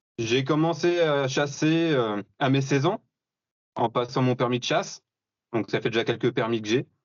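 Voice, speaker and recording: A man talks at a moderate pace and medium pitch, with ordinary pitch variation, very even loudness, and long, frequent pauses. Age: 30s. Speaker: bow hunter and hunting instructor. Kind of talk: podcast interview. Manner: hesitant, many fillers.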